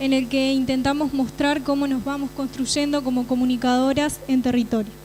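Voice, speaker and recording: A woman's high voice at a moderate pace, monotone and flat, with very even loudness, audible room echo and noticeable background noise. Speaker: communication graduate student. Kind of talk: conference talk.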